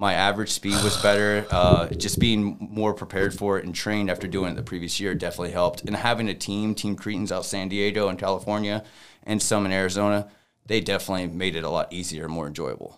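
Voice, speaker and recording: A man's very fast, monotone delivery with flat intonation, fairly low pitch, and a very clean recording over a silent background. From Louisiana, Lake Charles. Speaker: photographer and entrepreneur. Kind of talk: casual chat.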